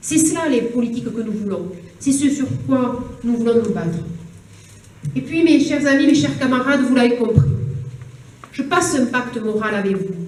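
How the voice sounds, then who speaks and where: A woman's high voice in a southern French accent, lively intonation, moderate pace with long, frequent pauses, audible room echo and noticeable background noise. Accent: southern French (Toulouse). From southern France, Toulouse area (Haute-Garonne). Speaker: politician, regional election candidate. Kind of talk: campaign speech. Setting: public meeting hall with audience.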